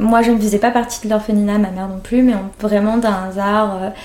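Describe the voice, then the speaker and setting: A woman talks at a moderate pace with a fairly high pitch and a monotone, flat intonation. Noticeable background noise and audible room echo are present. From France. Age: 30s. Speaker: interviewee sharing adoption story. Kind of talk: personal testimony interview. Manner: hesitant, many fillers.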